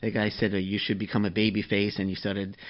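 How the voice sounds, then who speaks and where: A man talks at a very fast pace. He speaks with a Queens accent. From New York City (Flushing, Queens). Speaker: podcast host. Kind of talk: interview.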